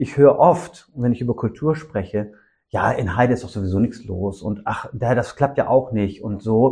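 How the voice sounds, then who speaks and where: A man's somewhat breathy voice, dark and mellow in tone, with ordinary pitch variation at a moderate pace. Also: medium pitch for a man. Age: 50s. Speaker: social worker and didgeridoo musician. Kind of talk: interview conversation. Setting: music room. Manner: hesitant with fillers.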